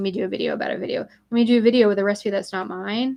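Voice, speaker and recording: A woman speaks at a very fast pace. Her pitch sits in the medium range. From US South, Middle Tennessee. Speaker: crafting YouTuber. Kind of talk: casual live stream chat. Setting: live stream. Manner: animated.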